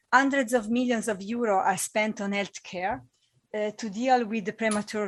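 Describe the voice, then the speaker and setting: A woman with an Italian accent speaks at a moderate pace in a fairly high pitch, her intonation fairly even, on a very clean recording with a silent background. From Italy. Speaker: panel chair, climate advocacy director. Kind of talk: moderating a conference panel. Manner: halting, with restarts and fillers.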